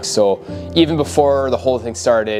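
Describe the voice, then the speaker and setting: Clear music sits in the background. Over it, a man speaks at a moderate pace. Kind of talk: interview answer. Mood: calm, reflective storytelling. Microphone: lapel.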